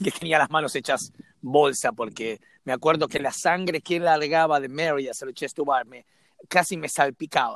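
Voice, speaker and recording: A man speaks at a moderate pace with a fairly high pitch. The sound is dry and close, with no echo. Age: 40s. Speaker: CrossFit coach. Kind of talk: casual chat. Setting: remote call.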